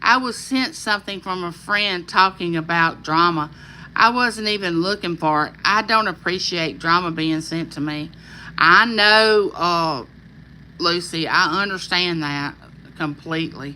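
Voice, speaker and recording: In a Southern US accent, a woman talks at a fairly slow pace with a fairly low pitch, a bright, sharp tone and ordinary pitch variation, recorded very cleanly against a silent background. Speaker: YouTuber hosting a live chat. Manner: friendly, chatty.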